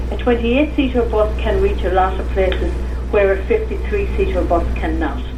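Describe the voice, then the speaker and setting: Speaking at a moderate pace in a monotone, flat delivery, a woman with a very deep, low pitch is heard over noticeable background noise and audible room echo. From Ireland, Sligo (northwest). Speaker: tour operator and traditional singer. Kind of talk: radio interview.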